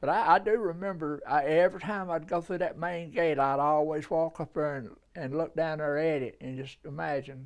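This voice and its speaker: With a Southern US accent, a man speaks at a moderate pace. His pitch is fairly high. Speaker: oral history interviewee. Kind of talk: interview. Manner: halting.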